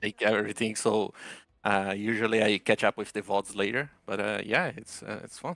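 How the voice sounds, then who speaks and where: A man with a Portuguese accent talks at a moderate pace with a fairly low pitch and fairly even intonation, though his loudness swings widely. The sound is dry and close with no echo, and the recording is very clean with a silent background. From Brazil. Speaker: caller. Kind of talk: casual chat. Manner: halting.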